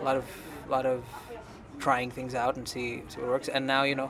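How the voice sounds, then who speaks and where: A man with a Tamil accent at a medium pitch and a fairly quick pace, amid audible room echo and noticeable background noise. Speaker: band singer and producer. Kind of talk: interview. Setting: at an anime convention.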